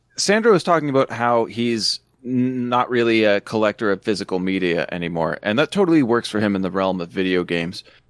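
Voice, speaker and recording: Speaking with a Canadian accent, a man has an unremarkable speaking voice, lively intonation and a fairly quick pace with hardly any pauses. The recording is very clean and dry, close with no echo, over a silent background. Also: medium pitch for a man. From Ontario, Canada. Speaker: podcast co-host, film enthusiast. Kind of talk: casual chat.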